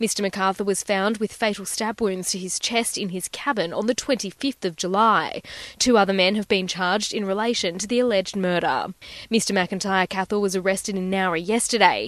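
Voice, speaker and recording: In an Australian accent, a woman speaks at medium pitch and a fairly quick pace. Her intonation is fairly even, and the background is quiet. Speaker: news reporter. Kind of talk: pre-recorded court news report. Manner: steady, factual, formal reporting tone.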